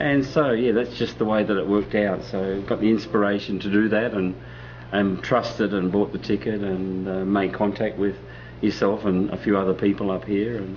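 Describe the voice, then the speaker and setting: Fairly low in pitch, a man with an Australian accent talks at a moderate pace with ordinary pitch variation. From Australia (Melbourne and Sydney). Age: 50s. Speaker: sound healer and musician. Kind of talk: interview.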